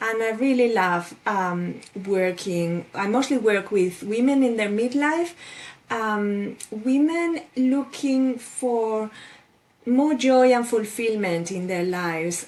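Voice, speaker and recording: A woman's fairly high voice at a very slow pace. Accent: Spanish. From Spain. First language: Spanish. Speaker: life coach. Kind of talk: interview.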